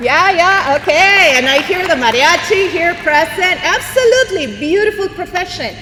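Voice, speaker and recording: Projecting her raised voice at an extremely high pitch, a woman speaks with lively intonation, very even loudness and hardly any pauses, amid audible room echo and noticeable background noise. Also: moderate pace. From Mexico, Monterrey. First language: Spanish. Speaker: bilingual educator, keynote speaker. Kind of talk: motivational speech. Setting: arena stage with audience. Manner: animated, code-switching with Spanish.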